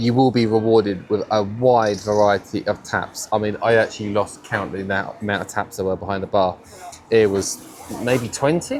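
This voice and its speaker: Over noticeable background noise, a man with a southern English accent speaks at a moderate pace. His pitch is fairly low and his intonation fairly even. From Cambridge, England. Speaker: food and drink vlogger. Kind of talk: casual talk to camera.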